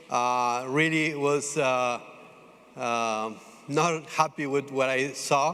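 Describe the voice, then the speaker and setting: Speaking in an Italian accent, a man uses a fairly high pitch. His pace is very slow, and his intonation is fairly even. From Italy. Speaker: food startup founder. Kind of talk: pitch presentation. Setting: stage with audience. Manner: halting, many fillers.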